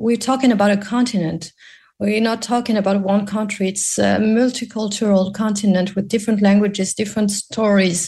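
Somewhat breathy, a woman speaks with fairly even intonation against a quiet background. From Morocco. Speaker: animation producer and entrepreneur. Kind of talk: radio interview. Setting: video call.

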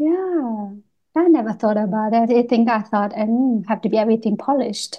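A woman speaks at a fairly quick pace. Her fairly high voice is somewhat breathy, with ordinary pitch variation. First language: not English. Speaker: podcast host and artist. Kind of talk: casual interview. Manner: halting.

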